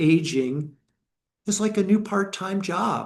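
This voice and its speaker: A man speaks with an American accent. His pitch variation is ordinary. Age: 60s. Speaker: meditation teacher. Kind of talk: dharma talk.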